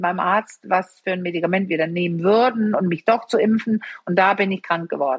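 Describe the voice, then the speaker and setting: A woman is speaking. Her pace is very fast. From Denmark. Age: 50s. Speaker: sexologist and couples therapist. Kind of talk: interview.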